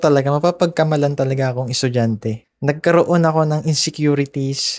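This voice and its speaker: A man with a fairly high pitch speaks fairly quickly in a very clean recording with a silent background and a dry, close sound with no echo. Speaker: podcaster. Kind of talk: personal storytelling podcast. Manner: casual, conversational.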